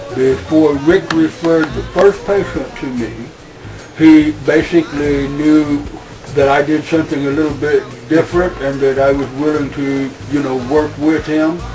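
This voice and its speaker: Over music in the background, a man speaks at a moderate pace with a fairly high pitch and fairly even intonation. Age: 60s. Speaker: hemp oil producer. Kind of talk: interview.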